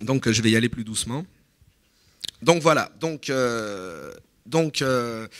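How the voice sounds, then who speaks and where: This man talks at a fairly slow pace with ordinary pitch variation. His pitch sits in the medium range. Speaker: political analyst. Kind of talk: conference talk. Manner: halting.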